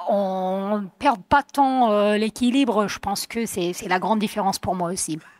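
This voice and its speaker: The recording is very clean, with a silent background and a dry, close sound with no echo. A woman speaks at a fairly slow pace with a fairly high pitch and ordinary pitch variation. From US, Vermont. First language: English (speaking French). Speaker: mountain athlete. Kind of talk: panel discussion. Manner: hesitant, many fillers.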